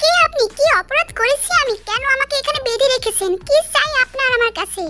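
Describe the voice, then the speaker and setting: Using a squeaky, put-on character voice at an extremely high pitch, a woman speaks at a moderate pace in a dry, close sound with no echo. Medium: read story.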